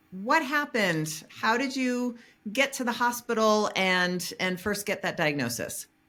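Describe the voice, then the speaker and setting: Over music in the background, a speaker with an American accent talks at a fairly slow pace with lively intonation. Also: woman, fairly high pitch for a woman. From US East Coast. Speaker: podcast host. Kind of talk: interview podcast. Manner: animated.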